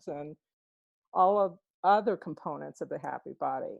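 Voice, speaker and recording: In an ordinary speaking voice, a woman with an American accent speaks at a medium pitch and moderate pace, the sound dry and close with no echo and the background quiet. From Texas. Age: 60s. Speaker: program participant. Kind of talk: casual group call sharing.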